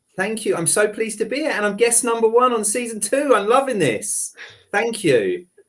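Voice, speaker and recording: At a moderate pace, a man speaks in an animated tone with a high pitch. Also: ordinary pitch variation. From London, England. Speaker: recruitment company CEO. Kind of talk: podcast interview.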